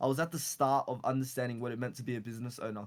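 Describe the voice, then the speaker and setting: Speaking very fast with fairly even intonation, a man talks with an Australian accent. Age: 20s. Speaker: entrepreneur. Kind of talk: casual chat.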